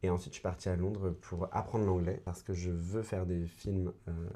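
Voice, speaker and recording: At a moderate pace, the speaker uses a dark, mellow tone and monotone, flat intonation in a very clean recording with a silent background. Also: man. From France, Mayenne (western France near Brittany). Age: 20s. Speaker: actor and writer. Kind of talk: podcast interview.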